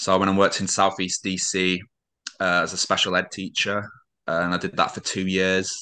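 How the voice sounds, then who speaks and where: A man's very deep, low voice in a British accent, bright and sharp in tone, monotone and flat, at a moderate pace over a quiet background. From Britain. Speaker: adapted PE teacher. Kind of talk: casual interview.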